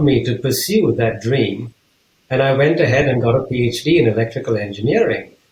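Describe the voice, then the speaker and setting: A man's somewhat breathy voice at a medium pitch, with ordinary pitch variation and a moderate pace. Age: 60s. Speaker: business leader and author. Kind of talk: interview.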